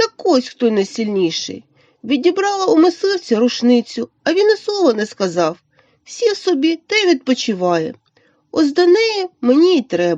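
A woman's put-on character voice, high in pitch, with very wide pitch swings and a moderate pace. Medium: read story.

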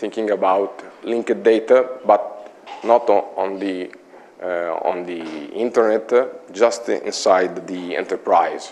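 The speaker has an Italian accent and a fairly slow pace. Long pauses come often. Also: man. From Italy, Imola; Italy. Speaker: IT consultant; conference presenter. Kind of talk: conference talk. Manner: halting. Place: meeting room. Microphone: lapel.

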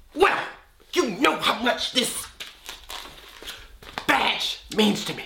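A man at a very slow pace, extremely high in pitch, with long, frequent pauses and big swings in loudness. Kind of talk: comic overacting. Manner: loud, excitable, shouting.

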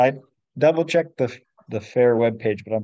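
With an American accent, a man talks at a moderate pace with ordinary pitch variation. The sound is dry with no echo, and the background is quiet. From Washington state, US. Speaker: science fair volunteer. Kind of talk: casual chat. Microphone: video call.

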